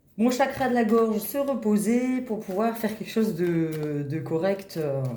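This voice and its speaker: With lively intonation, a woman speaks at a fairly high pitch. Noticeable background noise and audible room echo are present. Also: fairly slow pace. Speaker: tarot reader. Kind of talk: tarot reading. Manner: hesitant.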